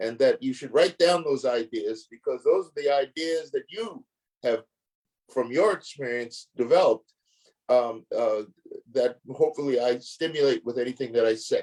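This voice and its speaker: Big swings in loudness mark this man's speech at a moderate pace. His medium pitch shows ordinary variation. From United States. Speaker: law professor. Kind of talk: lecture. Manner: halting.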